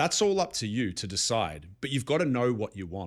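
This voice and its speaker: In a very clean recording with a silent background, a man at medium pitch speaks at a fairly quick pace in an Australian accent, his pitch swinging very widely. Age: 30s. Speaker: life coach vlogger. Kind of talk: motivational monologue.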